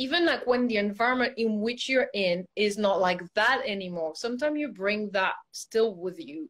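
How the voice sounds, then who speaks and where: A woman's fairly high voice with a non-native accent, lively intonation and a moderate pace. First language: not English. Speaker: ballet teacher. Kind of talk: casual chat.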